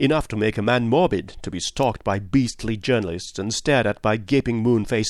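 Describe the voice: Ordinary pitch variation over plain reading aloud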